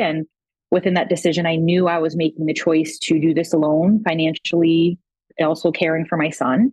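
Here is a woman with an ordinary speaking voice. She talks at a fairly quick pace in a fairly low pitch. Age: 40s. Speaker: school director and coaching client. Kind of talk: podcast interview.

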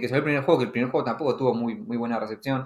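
The speaker is a man with a medium pitch. The way his pitch varies is ordinary. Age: 30s. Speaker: podcast host. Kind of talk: casual chat. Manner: halting, many repetitions.

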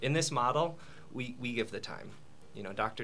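A man speaks at a medium pitch. His is an unremarkable speaking voice. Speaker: physical therapist. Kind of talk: panel discussion.

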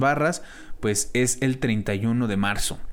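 The voice belongs to a man. It has a medium pitch. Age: 20s. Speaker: football podcast host. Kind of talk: solo sports analysis podcast. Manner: halting with frequent fillers.

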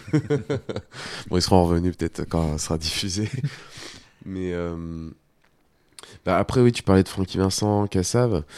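Very slow and broken by long, frequent pauses, a man's speech sits at a very deep, low pitch with ordinary pitch variation. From France, Nantes. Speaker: DJ. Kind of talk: radio interview. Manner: halting.

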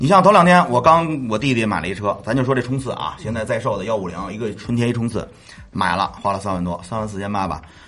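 Noticeable background noise is audible throughout. The man's words come very fast. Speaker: motorcycle vlogger and restaurant owner. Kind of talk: casual chat.

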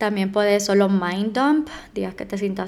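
At a moderate pace, a woman speaks with medium pitch and fairly even intonation. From Honduras. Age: 20s. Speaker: podcast host. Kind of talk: casual advice monologue.

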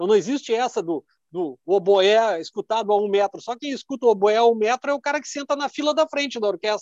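Talking at a fairly quick pace with hardly any pauses, a man with a high pitch uses lively intonation, the sound dry and close with no echo. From Rio Grande do Sul, Brazil (Serra region). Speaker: audio engineer. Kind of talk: interview conversation.

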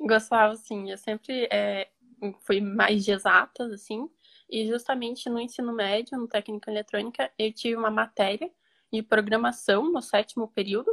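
At a moderate pace, a woman with a fairly high pitch and ordinary pitch variation talks in a normal speaking voice, the sound dry and close with no echo. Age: 20s. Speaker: computer engineering student. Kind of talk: interview. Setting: Instagram live.

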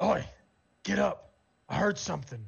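A man puts on a character voice pitched fairly high. He talks at a moderate pace. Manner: yelling.

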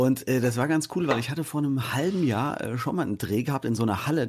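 A man talks fairly quickly in an ordinary speaking voice. His pitch is medium and his loudness very even. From eastern Hesse, Germany. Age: 40s. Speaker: writer and comedian. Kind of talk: casual chat.

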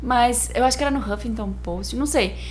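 A woman speaks with a strong Belém accent. The room echo is audible, and there is noticeable background noise. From Belém, northern Brazil. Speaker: podcast co-host. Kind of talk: casual chat.

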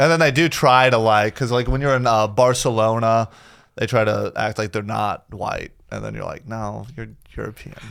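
A speaker with an American accent talks at a moderate pace with fairly even intonation. It is an ordinary speaking voice on a very clean recording with a silent background. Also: man, medium pitch for a man. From US South, Florida. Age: 20s. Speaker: stand-up comedian. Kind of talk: casual chat.

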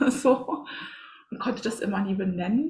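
The voice is somewhat breathy, with lively intonation. Audible room echo surrounds it. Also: woman. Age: 40s. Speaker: spiritual coach and medium. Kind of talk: casual interview.

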